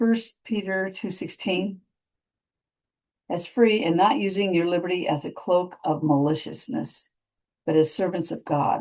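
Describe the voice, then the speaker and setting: A woman's voice at medium pitch with ordinary pitch variation, fairly slow, with long, frequent pauses. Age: 60s. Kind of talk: devotional teaching. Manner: casual, halting with fillers.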